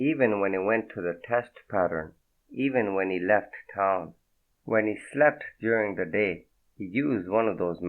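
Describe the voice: Someone does plain reading aloud. Behind them, the background stays quiet.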